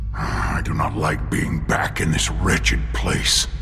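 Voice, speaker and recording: Amid loud background noise, a cartoonish character voice speaks at a fairly slow pace. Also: man. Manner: formal, stiff, no contractions.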